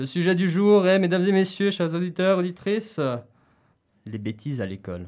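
A man speaks at a moderate pace with a high pitch and lively intonation. His delivery has long, frequent pauses. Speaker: radio host. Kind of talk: casual radio talk show. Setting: radio studio. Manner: energetic.

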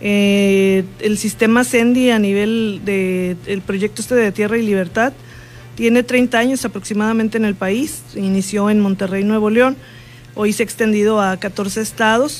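An ordinary speaking voice talks at a fairly slow pace. Its pitch varies in an ordinary way. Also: woman, medium pitch for a woman. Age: 60s. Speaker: politician. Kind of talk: interview. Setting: studio.

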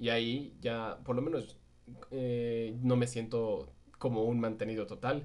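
Holding very even loudness, a man speaks at a medium pitch. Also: fairly slow pace. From Mexico City. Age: 20s. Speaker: podcast co-host. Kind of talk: casual chat. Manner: animated.

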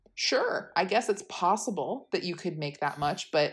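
Medium-pitched woman's voice with very wide pitch swings. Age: 20s. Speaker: podcast co-host, backpacker. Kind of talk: casual chat.

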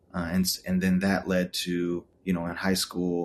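A man with an American accent talks in a very deep, low voice. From Texas, Austin. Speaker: photographer and director. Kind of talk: casual interview chat.

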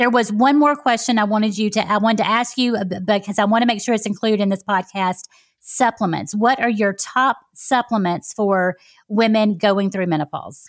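A woman speaks with fairly high pitch and ordinary pitch variation, in an ordinary speaking voice. The recording is very clean, with a silent background. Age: 40s. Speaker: podcast host and health coach. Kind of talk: interview.

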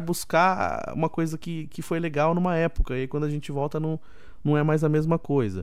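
Moderately paced speech from a man with a fairly high pitch. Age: 30s. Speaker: podcast host. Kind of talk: casual solo podcast talk. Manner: animated.

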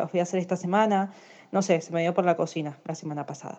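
A woman speaks in a dark, mellow tone with an Argentine accent. The background is quiet. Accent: Argentine Spanish (rioplatense voseo). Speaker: courier company office worker. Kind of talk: recorded voice message, casual.

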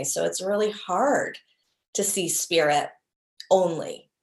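A woman with a normal speaking voice talks at a medium pitch. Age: 40s. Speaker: priestess and flower essence teacher. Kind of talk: interview.

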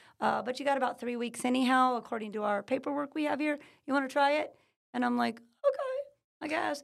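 A woman's high-pitched voice with an American accent, very fast in pace yet broken by long, frequent pauses. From California. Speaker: natural healing business owner. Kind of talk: interview. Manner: energetic.

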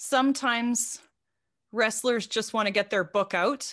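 Against a quiet background, a woman with a Canadian accent talks at a fairly slow pace in a normal speaking voice, her fairly high pitch showing ordinary variation. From Saskatchewan, Canada. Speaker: wrestling journalist and book editor. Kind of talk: casual interview.

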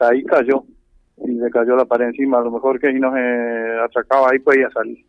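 Medium-pitched man with monotone, flat intonation. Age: 60s. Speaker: brickworks owner and racehorse owner. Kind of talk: on-site news interview.

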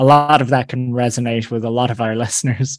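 A man with an Irish accent speaks at a medium pitch and a moderate pace. The sound is dry and close, with no echo. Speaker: podcast host. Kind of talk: interview.

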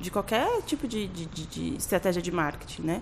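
At a moderate pace, a woman talks with lively intonation in a plain, everyday voice. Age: 30s. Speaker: graphic designer. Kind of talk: casual chat.

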